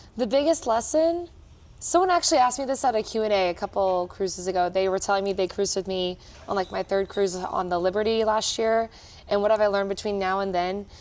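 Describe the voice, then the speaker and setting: A woman with an American accent at a very fast pace, medium in pitch, with ordinary pitch variation. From Texas, Austin. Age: 20s. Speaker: cruise director. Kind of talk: interview.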